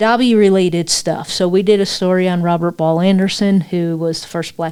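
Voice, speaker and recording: At a moderate pace, a woman talks at medium pitch with fairly even intonation. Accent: American. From New York. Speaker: local history storyteller, podcast host. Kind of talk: storytelling podcast monologue. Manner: casual, repetitive with fillers.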